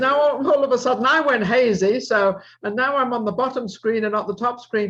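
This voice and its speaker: A fairly quick, high-pitched woman's voice. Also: ordinary pitch variation. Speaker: talk show host. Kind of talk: talk show hosting.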